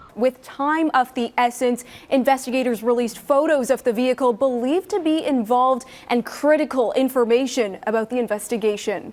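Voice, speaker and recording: There is noticeable background noise as a woman speaks at a fairly quick pace with hardly any pauses. Her pitch is high, with ordinary variation. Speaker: television news reporter and anchor. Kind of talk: broadcast news reporting and anchoring.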